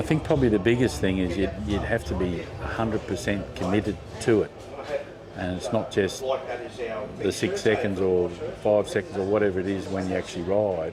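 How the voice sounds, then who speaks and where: A soft-spoken man with an Australian accent uses lively intonation at a fairly low pitch. Noticeable background noise is present. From Queensland, Australia. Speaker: top fuel motorcycle drag racer. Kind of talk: interview answer.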